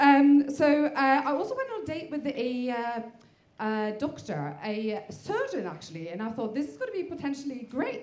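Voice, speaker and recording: A woman's high voice at a moderate pace, with very wide pitch swings. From Norway. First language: Norwegian. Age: 40s. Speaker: stand-up comedian. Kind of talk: stand-up. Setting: stage with audience. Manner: hesitant, many fillers.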